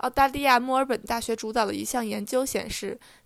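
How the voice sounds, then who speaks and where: At a moderate pace, a woman talks in a high voice with fairly even intonation. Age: 20s. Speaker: podcast co-host, student. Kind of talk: news reading; casual chat.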